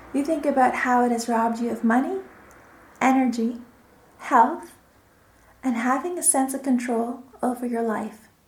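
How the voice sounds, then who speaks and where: Against noticeable background noise, a woman with a high voice speaks in a calm, soothing tone with long, frequent pauses. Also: ordinary pitch variation. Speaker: hypnotherapist. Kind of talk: guided hypnosis session for quitting smoking. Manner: slow, calm, soothing.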